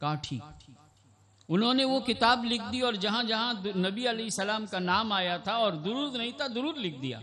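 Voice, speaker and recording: A man projects a raised voice at a high pitch, with a bright, sharp tone and lively intonation. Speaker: Islamic scholar, hadith teacher. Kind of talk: religious sermon (bayan) at an annual gathering. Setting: public event with PA system.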